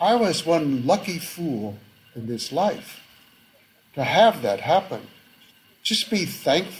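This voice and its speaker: Using a high pitch and very wide pitch swings, a man with an American accent speaks at a very slow pace with long, frequent pauses. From United States. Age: 70s. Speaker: author and academic. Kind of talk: interview conversation. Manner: halting, many fillers and restarts.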